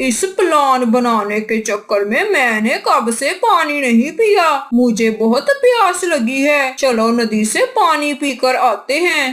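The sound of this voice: A female-sounding, cartoonish character voice speaks at a high pitch and a fairly slow pace with hardly any pauses. Light background noise can be heard.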